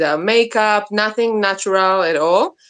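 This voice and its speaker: A woman with an Israeli accent speaks at a fairly slow pace. Her pitch is fairly high and her intonation lively. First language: Hebrew. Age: 30s. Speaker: interview guest, soap maker. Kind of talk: interview. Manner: halting, many fillers.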